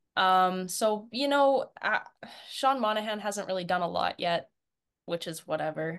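A woman with a Canadian accent and an unremarkable speaking voice talks at a fairly slow pace with lively intonation over a quiet background. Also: medium pitch for a woman. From Canada. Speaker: hockey fan and social media personality. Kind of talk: casual chat.

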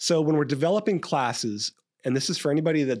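Talking at a very fast pace, a man is heard on a very clean recording with a silent background. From California, Stockton. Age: 50s. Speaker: police captain and training expert. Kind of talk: interview about police training. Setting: podcast interview.

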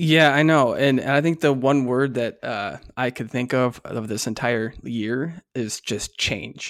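This is a plain, everyday voice with ordinary pitch variation, moving at a fairly slow pace with hardly any pauses. The recording is very clean, with a silent background. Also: man, medium pitch for a man. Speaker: podcast co-host and corporate trainer. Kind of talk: casual chat.

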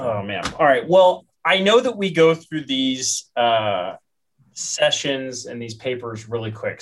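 With a plain, everyday voice at medium pitch, a man talks fairly slowly using lively intonation. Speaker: podcast co-host. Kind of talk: casual panel discussion, informative.

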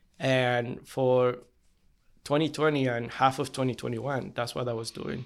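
Speaking at a moderate pace and medium pitch, a man talks with a Spanish accent. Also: fairly even intonation. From Bolivia (Cochabamba). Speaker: limo company CEO. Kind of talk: casual interview.

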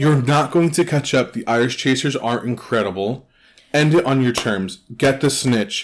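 Here someone reads aloud in a natural voice.

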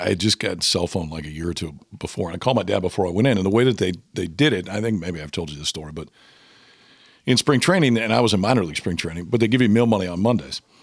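Recorded very cleanly against a silent background, a man with an American accent talks very fast in a very deep, low pitch with lively intonation. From Nebraska, Omaha. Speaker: baseball analyst and former pitcher. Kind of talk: casual chat.

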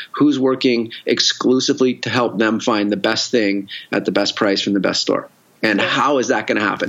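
A normal speaking voice with a Canadian accent, fairly quick pace, very even loudness and ordinary pitch variation. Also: man. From Canada, Victoria. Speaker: entrepreneur and investor. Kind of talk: casual interview.

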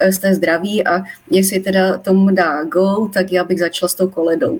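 Somewhat breathy, a woman speaks at a medium pitch and a moderate pace. Her intonation stays fairly even. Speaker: molecular biologist. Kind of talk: live-stream interview. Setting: live Facebook stream. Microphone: poorer audio quality.

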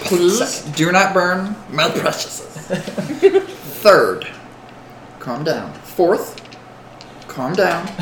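In a put-on character voice, the speaker sounds strained and croaky at a middle pitch and a very slow pace, with clear background noise. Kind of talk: comic Gollum impression. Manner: wheedling, nervous, stalling.

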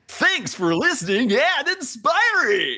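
A put-on character voice leaps through very wide pitch swings at a high pitch. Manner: bright, cartoonish, theatrical.

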